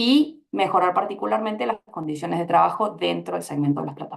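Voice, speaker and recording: Speaking with an Argentine accent, a woman uses vocal fry at a moderate pace. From Argentina. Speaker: panelist, labor researcher. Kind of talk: panel discussion. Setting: public event panel.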